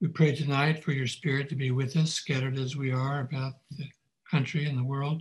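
A man speaks at a medium pitch and a moderate pace. His delivery is monotone and flat, with a somewhat breathy quality. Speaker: person giving prayer. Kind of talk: prayer.

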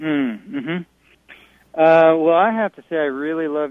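This is a man speaking with an American accent. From Montana. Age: 50s. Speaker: folk singer-songwriter. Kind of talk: radio interview. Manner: hesitant with many fillers.

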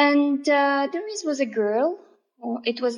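A woman speaks with a non-native accent. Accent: non-native English, self-described imperfect. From Russia. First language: Russian. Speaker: oriental dance artist and teacher. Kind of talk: interview. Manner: halting.

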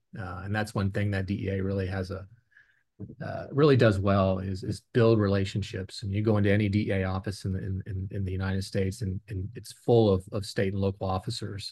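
A man with an American accent speaks at a fairly quick pace in a fairly low, dark, mellow voice, somewhat breathy and flat in a monotone, against a quiet background. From Virginia. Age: 50s. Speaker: former federal drug agent. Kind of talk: interview. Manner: halting, many fillers.

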